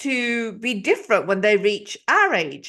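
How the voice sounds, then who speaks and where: The intonation here is lively. The background is quiet. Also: woman. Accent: English. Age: 50s. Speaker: podcast host. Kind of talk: interview.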